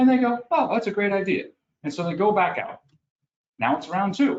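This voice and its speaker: Fairly quick, lively speech in a New York accent. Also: man. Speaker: HR executive. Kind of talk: interview. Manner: fast; animated.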